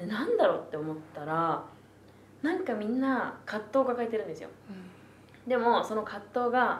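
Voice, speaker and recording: Amid audible room echo, a woman speaks at a moderate pace and fairly high pitch, with very wide pitch swings, big swings in loudness and long, frequent pauses. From Tokyo (Asakusa). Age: 20s. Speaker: university student. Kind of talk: casual chat. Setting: public recording with audience.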